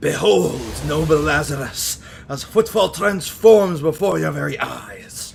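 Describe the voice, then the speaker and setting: Doing a put-on character voice, a man talks fairly slowly at a fairly high pitch, with clear background noise. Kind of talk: archaic, formal. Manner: reverent, awestruck, grandiose.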